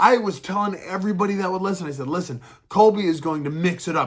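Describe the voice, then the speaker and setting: Background noise is noticeable. The speech moves at a fairly quick pace. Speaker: MMA commentary vlogger. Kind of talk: casual opinion monologue. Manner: fast.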